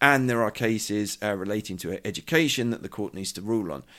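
Speaking with a British accent, a man talks at a fairly quick pace. His pitch is fairly low, with ordinary variation. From Britain. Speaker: journalist and podcast host. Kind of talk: news discussion podcast. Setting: studio.

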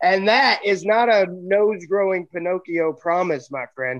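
In an American accent, a man with a high pitch speaks in an animated tone. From US South, Arkansas. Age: 30s. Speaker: pro wrestler. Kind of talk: interview.

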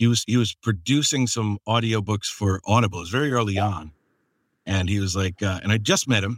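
A man with a normal speaking voice, fairly low pitch, and ordinary pitch variation, in a dry, close sound with no echo. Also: fairly quick pace, very clean recording, silent background. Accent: American. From US Northeast. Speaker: podcast host and audiobook narrator. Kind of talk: casual chat.

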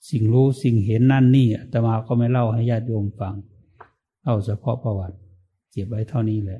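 A man's dark, mellow, somewhat breathy voice with fairly even intonation. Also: medium pitch for a man. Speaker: Buddhist monk, meditation teacher. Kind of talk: dharma talk with personal story.

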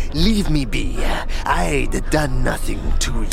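A man's shaky, put-on character voice at a fairly slow pace, against loud background noise. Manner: uncertain, defensive.

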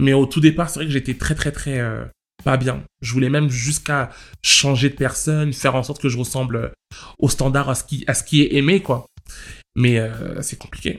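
A man talks at a moderate pace with medium pitch and fairly even intonation, in a plain, everyday voice. The recording is very clean, with a silent background. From France, Paris suburbs (Val-d'Oise housing estate). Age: 20s. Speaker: interviewee. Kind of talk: testimony.

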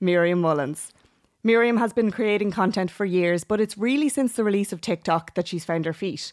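On a very clean recording with a silent background, a woman with an Irish accent speaks at a medium pitch with ordinary variation. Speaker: podcast host. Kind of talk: scripted podcast intro; casual interview chat.

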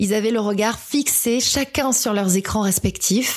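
A woman in a normal speaking voice, medium pitch, ordinary pitch variation and a moderate pace. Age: 30s. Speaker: podcaster. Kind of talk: monologue.

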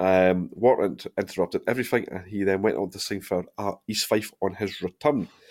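A man with a Dundee accent speaks with a fairly low pitch and ordinary pitch variation. His pace is moderate, on a very clean recording with a silent background. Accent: Scottish (Dundee). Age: 30s. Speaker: football podcast host. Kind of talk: casual chat.

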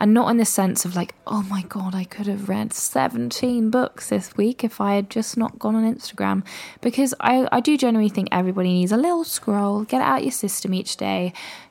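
A woman's somewhat breathy, medium-pitched voice in a British accent, relaxed and calm in tone with lively intonation, at a fairly quick pace with hardly any pauses, in a very clean recording with a silent background. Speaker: solo podcast host. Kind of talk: casual solo podcast monologue. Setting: home recording with mic. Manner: relaxed, calm delivery.

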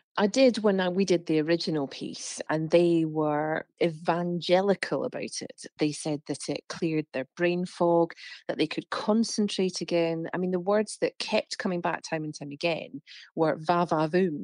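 In an ordinary speaking voice, a woman talks at a moderate pace with fairly low pitch and ordinary pitch variation, the sound dry and close with no echo against a quiet background. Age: 40s. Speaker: health reporter. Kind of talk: interview.

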